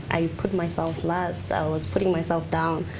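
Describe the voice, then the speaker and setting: A woman with an African accent, with audible room echo and noticeable background noise. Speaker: pageant contestant. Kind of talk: TV interview.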